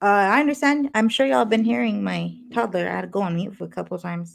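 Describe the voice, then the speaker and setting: A woman talks at a fairly quick pace. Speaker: paranormal channel co-host. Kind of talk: live stream conversation. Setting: at home, live stream.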